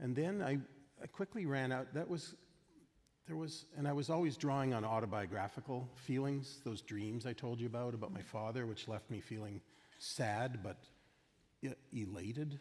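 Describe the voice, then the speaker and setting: A man with a Canadian accent, medium pitch and ordinary pitch variation, at a moderate pace with long, frequent pauses. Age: 60s. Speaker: film director. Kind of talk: onstage festival conversation. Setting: stage with audience. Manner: halting, many fillers.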